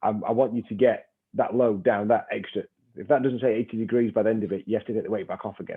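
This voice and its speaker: Talking at a very fast pace, a man with a northern English accent keeps a medium pitch and fairly even intonation. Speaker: strength and conditioning coach. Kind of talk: webinar discussion.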